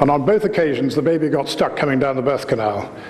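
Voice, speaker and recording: Noticeable background noise surrounds this man. His voice carries audible room echo. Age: 60s. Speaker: osteopath. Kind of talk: lecture. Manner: animated.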